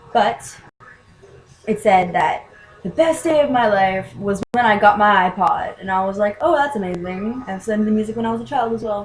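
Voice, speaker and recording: Noticeable background noise is present throughout. A woman speaks at a moderate pace, her pitch varying in an ordinary way. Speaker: vlogger and aspiring musician. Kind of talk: casual vlog monologue. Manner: halting.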